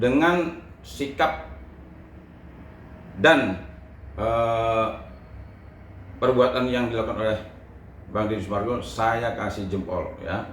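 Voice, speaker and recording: A man at medium pitch, very slow with long, frequent pauses, amid noticeable background noise and audible room echo. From Sumatra (Lampung-born, Palembang family). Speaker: lawyer. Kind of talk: interview.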